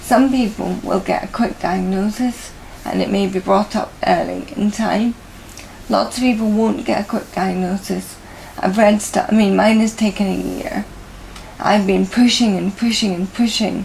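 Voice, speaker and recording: With a British accent, a woman speaks at a moderate pace and medium pitch, her intonation fairly even, over noticeable background noise. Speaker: person living with motor neurone disease. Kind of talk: interview. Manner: halting.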